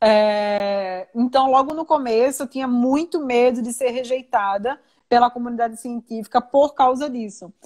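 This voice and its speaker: The sound is dry and close, with no echo. The speech moves at a moderate pace with ordinary pitch variation. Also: woman. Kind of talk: conversational.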